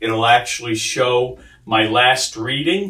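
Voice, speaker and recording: A man's unremarkable speaking voice, fairly slow, with ordinary pitch variation. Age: 60s. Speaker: patient sharing testimony. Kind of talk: testimony.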